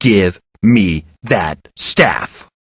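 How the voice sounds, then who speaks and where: A man growls in a put-on character voice. His pitch sits fairly low. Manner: growling, demanding.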